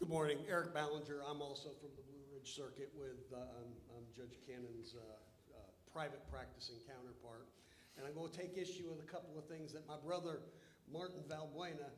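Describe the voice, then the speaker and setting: This man's voice is fairly high and somewhat breathy, with ordinary pitch variation and big swings in loudness. He talks fairly quickly, and room echo is audible. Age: 60s. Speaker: lawyer, bar board member. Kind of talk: formal meeting remarks, debate. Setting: hotel meeting room, livestreamed. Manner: halting, many repetitions and fillers.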